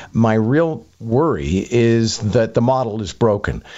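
He has an ordinary speaking voice. His pitch is medium, with ordinary variation. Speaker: radio host and commentator. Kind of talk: radio panel discussion.

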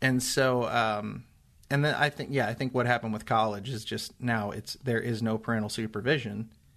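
Against a quiet background, a man with an American accent and an ordinary speaking voice talks at a fairly quick pace and medium pitch with fairly even intonation. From Indiana, US Midwest. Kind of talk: casual chat. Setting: studio. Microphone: new microphone.

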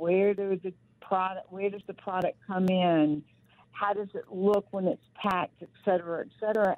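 Her voice has a Southern US accent. The woman speaks at a medium pitch with fairly even intonation. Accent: Southern American. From US South. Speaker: company founder and author. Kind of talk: interview.

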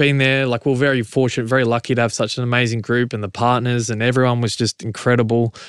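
The speaker has an Australian accent and a monotone, flat intonation. The delivery is very fast, with hardly any pauses. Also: man, medium pitch for a man. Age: 30s. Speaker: rugby league player. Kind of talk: casual chat.

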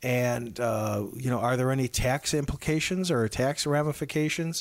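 A man speaks at a moderate pace and medium pitch, with ordinary pitch variation. The recording is very clean, with a silent background. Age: 60s. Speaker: financial planner. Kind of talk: radio interview. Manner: halting.

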